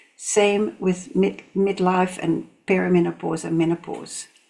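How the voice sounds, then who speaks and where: A woman talks with vocal fry. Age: 70s. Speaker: reflexology therapist. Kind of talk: motivational talk to camera.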